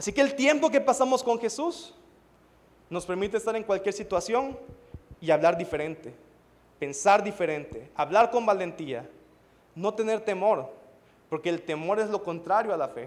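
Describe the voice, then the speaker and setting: Pausing long and often, a man with a high pitch talks at a moderate pace with very wide pitch swings. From Mexico (Veracruz). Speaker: pastor. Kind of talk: sermon.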